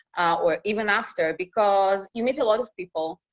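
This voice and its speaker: A woman speaks with a Russian accent at a medium pitch and a moderate pace. The sound is dry and close, with no echo. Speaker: news reporter. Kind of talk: interview. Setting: live video call.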